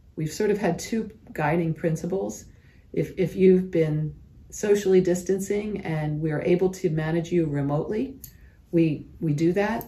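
The tone is dark and mellow, somewhat breathy. Delivery is at a moderate pace with ordinary pitch variation. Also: woman, fairly low pitch for a woman. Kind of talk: interview answer. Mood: calm, explanatory. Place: office. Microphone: phone near.

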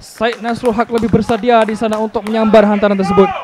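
A man with a Malaysian accent, animated in tone and very fast, over noticeable background noise. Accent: Malaysian Malay. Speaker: football commentator. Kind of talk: live football commentary. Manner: rapid-fire, clipped play-by-play; animated, exclaiming at near-misses.

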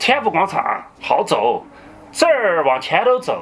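A man speaks at a very slow pace. Faint music plays in the background. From Sichuan, China. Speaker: co-host. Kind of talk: casual podcast chat. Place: home room.

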